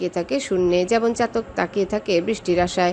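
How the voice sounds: What you hear is a natural reading voice.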